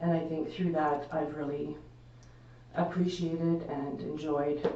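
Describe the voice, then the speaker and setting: Very deep and low, a woman's voice stays monotone and flat. Audible room echo and noticeable background noise fill the recording. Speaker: municipal administrator. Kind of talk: formal address at council meeting. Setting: council chamber, live stream. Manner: loud.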